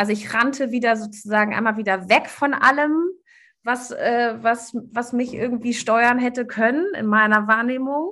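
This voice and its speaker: This woman has a high pitch and a bright, sharp tone. She talks at a moderate pace with ordinary pitch variation. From Germany. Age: 40s. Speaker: life coach. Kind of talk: interview.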